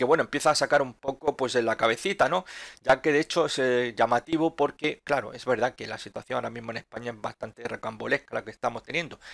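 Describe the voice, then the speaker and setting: A man at a medium pitch talks at a very fast pace with ordinary pitch variation and big swings in loudness, in a very clean recording with a silent background and a dry, close sound with no echo. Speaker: stock market analyst youtuber. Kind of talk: market analysis commentary.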